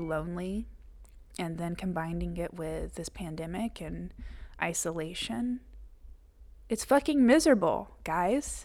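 Speaking in a fairly low pitch with vocal fry, a woman shows ordinary pitch variation. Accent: Southern US. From Georgia, US South. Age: 30s. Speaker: podcast host. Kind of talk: personal journal monologue. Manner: emotional, close to tears.

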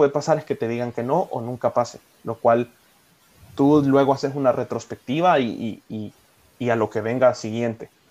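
An ordinary speaking voice from a man, medium in pitch, moderate in pace, with fairly even intonation. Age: 20s. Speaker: call center team leader. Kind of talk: casual chat. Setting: at home.

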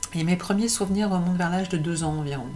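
Over noticeable background noise and audible room echo, a woman speaks at a fairly quick pace with a fairly low pitch. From France, Paris. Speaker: entrepreneur and personal coach. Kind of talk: personal monologue video. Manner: hesitant, many fillers and repetitions.

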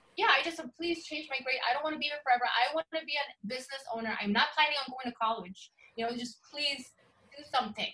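Speaking at a very fast pace, a woman with a high pitch projects a raised voice with ordinary pitch variation. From Sweden. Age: 30s. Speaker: photographer and yoga practitioner. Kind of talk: casual interview.

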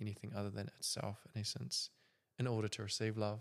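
A man talks at a fairly quick pace in a plain, everyday voice. His pitch sits fairly low and his intonation stays fairly even. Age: 20s. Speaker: podcast host. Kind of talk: casual chat.

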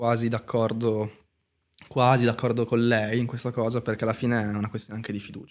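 On a very clean recording with a silent background, a man rattles along at a very fast pace, his medium pitch held in a monotone, flat intonation. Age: 20s. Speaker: tattoo artist. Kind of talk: casual chat.

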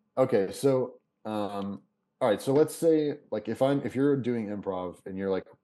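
Here a man speaks with a dark, mellow tone. His pace is fairly quick. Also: quiet background. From Kentucky. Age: 30s. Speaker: comedian and actor, former hardcore musician. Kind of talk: casual chat. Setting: video call.

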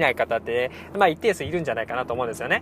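His voice swings very widely in pitch. The man is heard against noticeable background noise. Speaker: cram school teacher and podcaster. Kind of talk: casual monologue. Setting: in a car. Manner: fast; animated.

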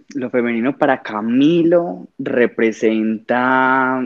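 The man's voice shows ordinary pitch variation. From Colombia, Medellín. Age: 20s. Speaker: fashion designer. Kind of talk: casual chat.

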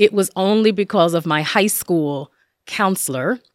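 A woman with a New Jersey accent is heard on a very clean recording with a silent background. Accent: New Jersey American. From northern New Jersey, Passaic. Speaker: professor. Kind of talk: interview.

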